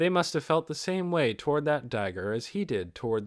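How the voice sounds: A man's voice with big pitch swings, on a very clean recording with a silent background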